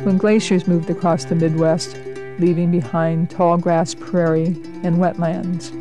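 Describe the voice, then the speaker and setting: Music plays in the background as a woman speaks at a fairly slow pace. Her pitch is fairly low, with fairly even intonation. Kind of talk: documentary narration.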